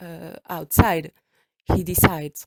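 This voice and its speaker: A woman's fairly low voice with a French accent, in a dry, close sound with no echo. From France. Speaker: podcaster. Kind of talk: storytelling. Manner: halting; casual.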